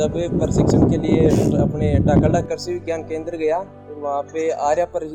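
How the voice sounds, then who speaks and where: A man with a fairly high-pitched voice speaks over music playing in the background. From Rajasthan, India. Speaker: goat farmer. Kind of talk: interview answer.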